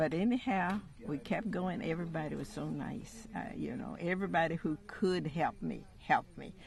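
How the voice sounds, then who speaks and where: A woman with an American accent and vocal fry, at a moderate pace with hardly any pauses, lively intonation and big swings in loudness. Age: 90s. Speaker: pioneer aviator. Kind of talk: interview. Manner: halting.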